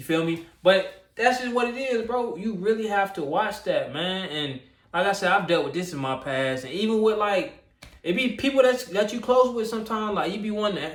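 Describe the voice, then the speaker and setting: In a room with audible echo, a man with a high voice speaks at a moderate pace. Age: 20s. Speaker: YouTuber. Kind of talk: casual vlog monologue. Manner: halting, repetitive.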